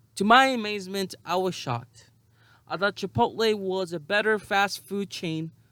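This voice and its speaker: In a raised, projected voice, a man with a high pitch speaks at a moderate pace with ordinary pitch variation and an animated tone on a very clean recording with a silent background. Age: 30s. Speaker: podcast host. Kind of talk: casual monologue.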